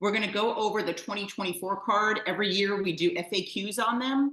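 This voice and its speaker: A woman talks at a fairly quick pace in a New York accent. Her pitch variation is ordinary. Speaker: mahjong teacher. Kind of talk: online class. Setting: video call. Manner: fast.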